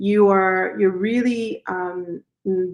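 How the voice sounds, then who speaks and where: A woman with a Spanish accent speaks at a medium pitch. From Chicago west side, Colombian family. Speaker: physician. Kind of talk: interview. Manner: animated.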